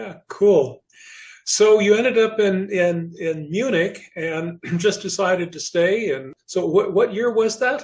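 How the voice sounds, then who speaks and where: A man with a high-pitched voice and an American accent, very slow pace, ordinary pitch variation, big swings in loudness. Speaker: podcast host, theater member. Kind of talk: scripted intro then casual interview.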